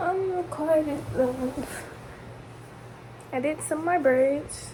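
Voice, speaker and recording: Noticeable background noise sits behind a high-pitched woman who talks at a very slow pace with ordinary pitch variation. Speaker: vlogger. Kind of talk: casual chat. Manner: casual, chatty.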